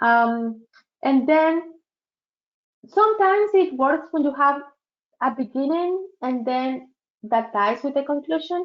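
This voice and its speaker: Speaking with a strong non-native accent, a woman with a high pitch talks at a fairly slow pace with lively intonation and long, frequent pauses. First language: not English. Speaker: career advisor leading a workshop. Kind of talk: virtual workshop presentation. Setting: online webinar.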